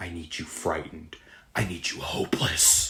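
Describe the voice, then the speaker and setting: A man puts on a raspy character voice, speaking at a moderate pace. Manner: menacing.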